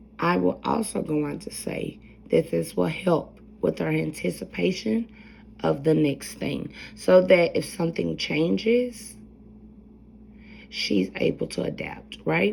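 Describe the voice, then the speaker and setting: A soft-spoken woman at a fairly slow pace, with long, frequent pauses. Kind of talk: educational presentation.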